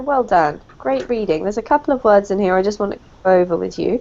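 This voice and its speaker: A woman speaks very fast with a British accent and lively intonation. Her medium-pitched voice has a dark, mellow tone. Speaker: English teacher. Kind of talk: online language lesson.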